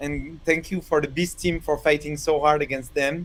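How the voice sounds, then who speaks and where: A man with a French accent speaks at a moderate pace in a fairly high voice, his intonation flat and monotone. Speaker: chess commentator. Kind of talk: live commentary. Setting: live stream studio.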